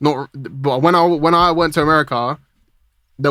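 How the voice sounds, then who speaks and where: This is a man with a British accent and a fairly high pitch. His intonation is monotone and flat. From UK. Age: 20s. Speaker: music producer. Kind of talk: casual interview chat. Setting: podcast interview.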